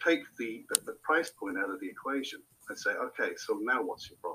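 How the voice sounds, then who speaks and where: A man talks with a southern British accent. His pace is moderate. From Hampshire, England. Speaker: marketing agency owner. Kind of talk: casual interview.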